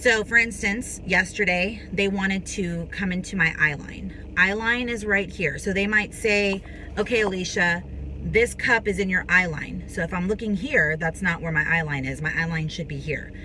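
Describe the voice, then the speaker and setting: The speech shows ordinary pitch variation. Noticeable background noise is present. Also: woman, medium pitch for a woman. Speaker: actress and vlogger. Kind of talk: casual tutorial vlog. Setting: on a film set, recording between takes. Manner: fast.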